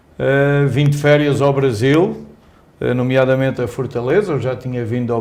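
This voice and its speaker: With a Portuguese accent, a man speaks at a medium pitch with fairly even intonation, and the room echo is audible. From Portugal (Coimbra). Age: 60s. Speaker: company executive. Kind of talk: interview. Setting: newsroom.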